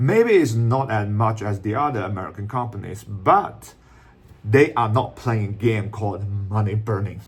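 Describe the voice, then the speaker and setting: A man with a Shanghai accent speaks at a moderate pace in a somewhat breathy voice. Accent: Chinese (Shanghai) accent in English. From China, Shanghai. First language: Chinese. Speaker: YouTuber explaining Chinese tech and business. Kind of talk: video commentary. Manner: non-native, somewhat halting English.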